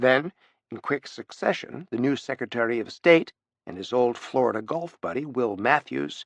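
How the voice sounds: A natural reading voice is heard. It sits against a quiet background.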